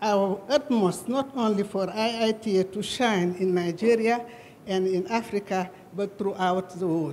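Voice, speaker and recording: Noticeable background noise runs behind the voice. A woman speaks at a fairly slow pace. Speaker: government representative. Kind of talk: formal speech. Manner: halting.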